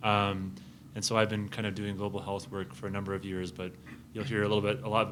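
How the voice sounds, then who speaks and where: Talking at a very fast pace, a man keeps a fairly low pitch and fairly even intonation. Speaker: pediatric infectious disease physician and researcher. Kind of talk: academic presentation. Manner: loud.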